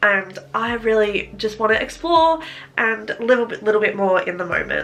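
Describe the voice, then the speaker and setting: Against music in the background, a woman with a fairly high pitch speaks in an Australian accent. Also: ordinary pitch variation, moderate pace. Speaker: lifestyle vlogger. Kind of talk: casual vlog talk to camera. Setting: sitting in front of a camera at home.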